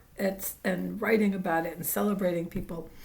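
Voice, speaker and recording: There is audible room echo around a woman's fairly low voice, which has vocal fry. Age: 70s. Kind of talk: casual spiritual vlog talk. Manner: halting, many fillers.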